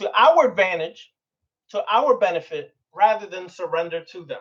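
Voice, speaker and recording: A man's voice sits high, with an animated tone and lively intonation. He keeps a moderate pace. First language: Spanish. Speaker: occult teacher. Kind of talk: lecture.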